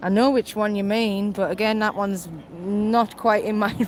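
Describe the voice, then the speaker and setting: A woman with a Cumbrian accent at a fairly slow pace. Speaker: mobility vlogger, wheelchair user. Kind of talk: live stream casual chat. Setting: outdoors, on the promenade.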